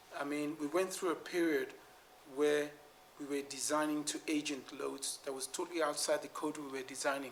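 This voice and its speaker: Against audible room echo, a man talks at a fairly quick pace with a fairly high pitch. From West Africa (Nigeria and Sierra Leone), born in London. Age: 60s. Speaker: structural engineer. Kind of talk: Q&A after an award lecture.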